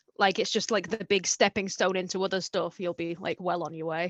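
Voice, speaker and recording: Recorded with a dry, close sound and no echo, a plain, everyday voice speaks with fairly even intonation. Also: woman. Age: 20s. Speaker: illustrator. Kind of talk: interview.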